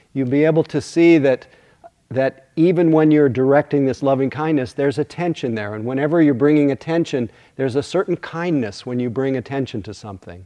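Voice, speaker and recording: Here a man has an unremarkable speaking voice, a fairly high pitch and ordinary pitch variation. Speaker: meditation teacher. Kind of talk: guided meditation, then dharma talk. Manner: soothing, slow, gentle pacing; warm, hushed, unhurried.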